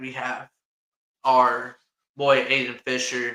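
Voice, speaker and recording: The man's tone is bright and sharp. He speaks with an Indiana accent. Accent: Hoosier accent, mocked in upstate New York. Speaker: sports podcast host. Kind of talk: casual chat. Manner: animated.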